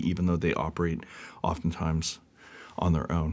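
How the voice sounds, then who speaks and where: A man speaks with an American accent in a very deep, low voice. The recording is very clean, with a silent background. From Seattle area, US Pacific Northwest. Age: 40s. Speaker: music magazine founder and editor. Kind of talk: casual interview. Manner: casual with many fillers.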